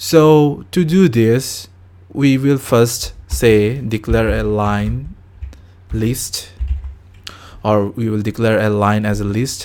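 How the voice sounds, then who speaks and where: Speech comes at a very slow pace with long, frequent pauses. The voice carries a non-native accent and ordinary pitch variation. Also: man, medium pitch for a man. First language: not English. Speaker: programming tutor. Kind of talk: tutorial. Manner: halting.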